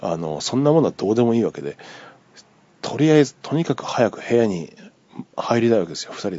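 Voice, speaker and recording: Vocal fry with very wide pitch swings. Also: man. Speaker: podcaster. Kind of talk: casual solo monologue telling a dream. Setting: recorded on iPhone, solo. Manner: rambling, filler-heavy, conversational.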